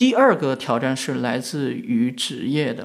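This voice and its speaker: Here a man is speaking. His pitch swings very widely. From western China. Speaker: media founder, entrepreneur. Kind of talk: reflective interview talk. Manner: frequent fillers, hesitant.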